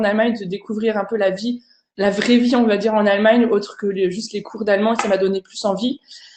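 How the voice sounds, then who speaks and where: Very fast and in a monotone, flat intonation, a woman speaks at a fairly high pitch. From France, Alsace. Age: 30s. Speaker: language teacher and online content creator. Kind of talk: online conference presentation. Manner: hesitant, many fillers.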